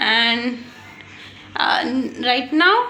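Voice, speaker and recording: A woman with an Indian accent speaks at a high pitch, with audible room echo and noticeable background noise. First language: Hindi. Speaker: English learner vlogger. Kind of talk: casual monologue, speaking practice. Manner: halting, many fillers and restarts.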